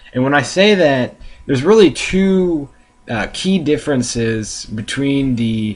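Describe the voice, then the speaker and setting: A man with an American accent speaks at a moderate pace over noticeable background noise. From USA. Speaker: video blogger, soccer fan. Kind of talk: casual vlog monologue. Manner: hesitant, many fillers.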